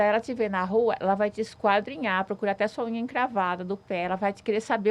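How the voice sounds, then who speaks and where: Very rapid speech keeps a fairly level intonation. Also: woman. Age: 60s. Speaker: social media influencer. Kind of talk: casual chat.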